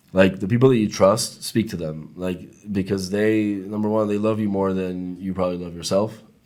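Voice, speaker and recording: A man with a Spanish accent, fairly low in pitch, monotone and flat, at a moderate pace. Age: young. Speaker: podcast guest, immigrant to Israel. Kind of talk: casual interview chat.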